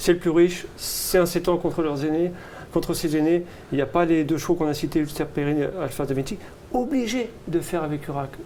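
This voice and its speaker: Noticeable background noise accompanies a man talking at a fairly quick pace in a high voice. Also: ordinary pitch variation. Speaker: horse racing tipster. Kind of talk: racing tips discussion. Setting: studio. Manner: fast; animated.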